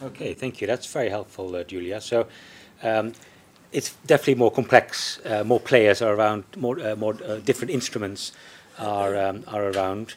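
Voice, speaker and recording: Noticeable background noise runs behind a man whose voice has a fairly low pitch. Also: ordinary pitch variation, moderate pace. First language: not English. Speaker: panel chair, economist at think tank. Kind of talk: panel discussion moderation. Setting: live event with audience. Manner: hesitant, many fillers.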